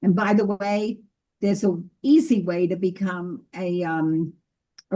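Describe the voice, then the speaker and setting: A woman's dark, mellow tone at medium pitch, with ordinary pitch variation and a fairly slow pace. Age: 80s+. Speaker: ghostwriter and book publishing consultant. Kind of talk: lecture on Zoom.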